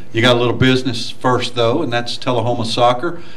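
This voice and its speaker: Amid noticeable background noise and audible room echo, a man talks at a fairly quick pace and medium pitch with ordinary pitch variation. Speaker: sports radio host. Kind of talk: interview. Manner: loud.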